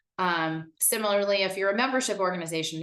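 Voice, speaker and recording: With an unremarkable speaking voice, a woman talks at medium pitch and a moderate pace. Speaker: marketing director leading a workshop. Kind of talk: online workshop presentation.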